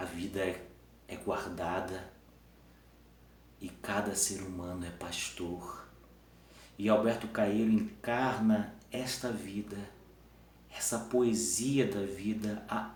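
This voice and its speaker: Long, frequent pauses break up very slow speech, with noticeable background noise present. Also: man. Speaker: teacher. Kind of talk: improvised philosophical talk to camera. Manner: halting, some stumbles.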